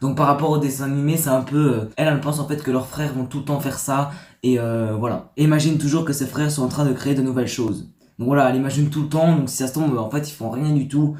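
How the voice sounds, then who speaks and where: The speaker rushes along at a very fast pace in a monotone, flat intonation, sounding somewhat breathy. There is audible room echo. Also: man, fairly high pitch for a man. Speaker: YouTuber. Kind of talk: casual vlog reading stories. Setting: dim room. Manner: soft-spoken.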